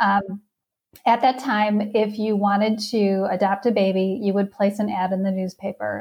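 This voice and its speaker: A woman with an American accent speaks at a medium pitch, somewhat breathy, with monotone, flat intonation. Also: moderate pace. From Wisconsin (outside Milwaukee). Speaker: parenting coach. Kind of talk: testimony.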